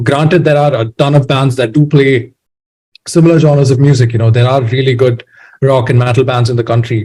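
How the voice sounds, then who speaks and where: A dark, mellow, somewhat breathy tone at a fairly quick pace, with fairly even intonation and very even loudness. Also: man. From India, Bangalore. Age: 20s. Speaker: musician. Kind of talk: interview. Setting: podcast.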